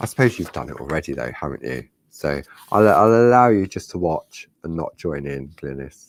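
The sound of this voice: A croaky man with an extremely low pitch speaks at a moderate pace with lively intonation.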